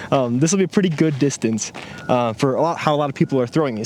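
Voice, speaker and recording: A man talks at a very fast pace with lively intonation. Noticeable background noise runs behind him. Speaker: disc golf YouTuber. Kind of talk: casual on-course commentary. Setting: outdoors on a disc golf course. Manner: fast-talking.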